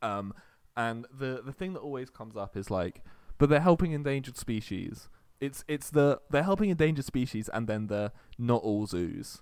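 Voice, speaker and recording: An unremarkable speaking voice from a man, medium in pitch, with lively intonation and a moderate pace. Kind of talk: comedic carnival-barker patter inside a casual chat.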